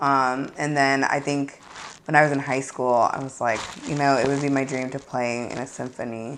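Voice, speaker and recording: Noticeable background noise sits behind a woman's voice. Her pitch is very deep and low, and her intonation is monotone and flat. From St. Louis, Missouri. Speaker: singer and band leader. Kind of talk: interview. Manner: casual, hesitant with fillers.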